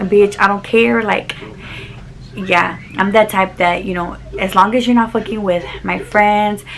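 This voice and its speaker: A woman speaks at a medium pitch and a fairly slow pace. Her pitch variation is ordinary, with noticeable background noise behind her. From Texas (Dallas), Mexican-American family. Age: 20s. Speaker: YouTuber. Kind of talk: casual chat. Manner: animated.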